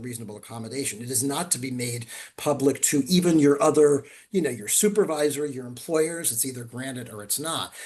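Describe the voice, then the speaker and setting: The speaker has a normal speaking voice. The pace is fairly quick. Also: man. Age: 60s. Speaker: attorney presenting webinar. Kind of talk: webinar Q&A.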